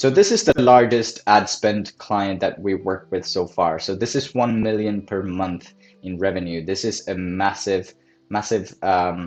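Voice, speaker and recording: Over a quiet background, a man with a non-native accent speaks at a fairly low pitch. His pace is fairly slow and his intonation fairly even. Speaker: marketing agency owner. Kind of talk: case study presentation.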